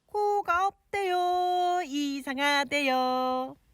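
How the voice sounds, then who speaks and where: A put-on character voice, high-pitched, at a very slow pace. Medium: read story.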